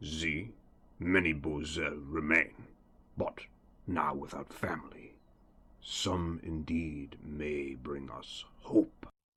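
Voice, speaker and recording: A man puts on a raspy character voice with a very deep, low pitch, speaking at a very slow pace with long, frequent pauses. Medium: audio drama. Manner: terse, cryptic.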